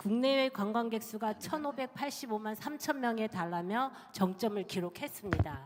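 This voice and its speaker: Noticeable background noise sits behind a woman at a fairly high pitch. She keeps a fairly quick pace with ordinary pitch variation. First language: Korean. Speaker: tourism official. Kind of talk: conference presentation. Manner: formal.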